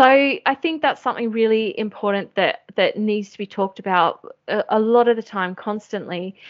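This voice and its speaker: A woman's fairly high voice in an Australian accent, at a moderate pace with ordinary pitch variation and hardly any pauses. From Australia, Sydney. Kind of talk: interview.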